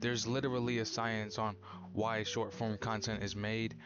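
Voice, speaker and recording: Delivered at a moderate pace with very even loudness and fairly even intonation, this is a plain, everyday voice. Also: man. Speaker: vlogger. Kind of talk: casual vlog monologue. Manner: casual with many fillers.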